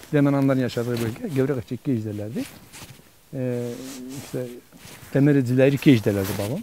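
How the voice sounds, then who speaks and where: Moving at a fairly quick pace, a man talks at a medium pitch. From Dersim, eastern Turkey. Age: 60s. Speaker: interviewee, local elder. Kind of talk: interview, personal recollection. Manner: halting, many fillers.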